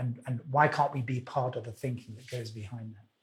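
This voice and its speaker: A man speaks in a somewhat breathy voice. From Wales. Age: old. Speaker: finance industry executive. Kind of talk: interview. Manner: hesitant, many fillers.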